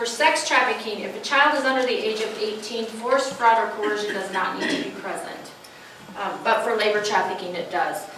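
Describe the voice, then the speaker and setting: Noticeable background noise and audible room echo around a moderate pace with ordinary pitch variation. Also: woman. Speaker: social worker giving a presentation. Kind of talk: presentation to an audience.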